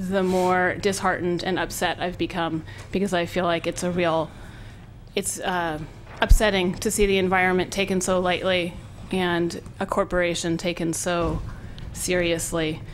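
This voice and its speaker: In an American accent, a woman with a fairly low pitch talks at a moderate pace in monotone, flat intonation, with audible room echo. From northern California (Willits). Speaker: public commenter. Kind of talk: public comment at county meeting. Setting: public meeting hall.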